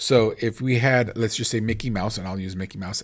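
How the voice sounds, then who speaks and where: A man talks at a fairly quick pace. His intonation is fairly even. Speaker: teacher. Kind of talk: tutorial. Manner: fast; casual, with many fillers.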